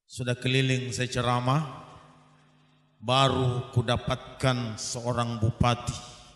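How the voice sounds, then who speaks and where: Speaking at a very slow pace, a man delivers his words in a monotone, flat intonation. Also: medium pitch for a man. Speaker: Islamic preacher. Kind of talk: sermon.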